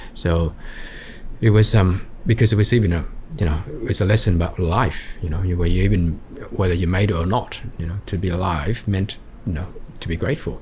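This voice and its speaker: At a fairly quick pace, a man with an Australian accent and a very deep, low pitch leaves long, frequent pauses, with noticeable background noise behind him. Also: ordinary pitch variation. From Australia, Sydney's western suburbs. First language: Vietnamese. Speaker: entrepreneur. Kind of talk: interview. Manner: halting.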